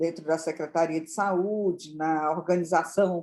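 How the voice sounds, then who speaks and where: On a very clean recording with a silent background, a woman with a dark, mellow tone speaks at a fairly slow pace. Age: 60s. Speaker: pharmacist and public health manager. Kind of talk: interview. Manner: halting.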